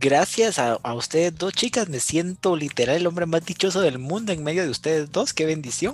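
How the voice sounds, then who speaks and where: Hardly any pauses break up this man's fairly quick pace. He speaks at a high pitch with lively intonation. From Guatemala. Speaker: youth service club district representative. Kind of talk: interview.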